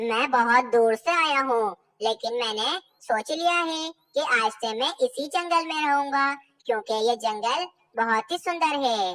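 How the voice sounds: A cartoonish character voice, female-sounding and high-pitched, goes along at a fairly slow pace.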